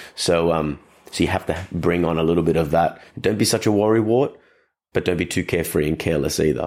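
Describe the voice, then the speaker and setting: On a very clean recording with a silent background, a man with an Australian accent speaks fairly quickly in a very deep, low voice. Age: 30s. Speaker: dog trainer and podcast host. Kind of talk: casual solo podcast talk.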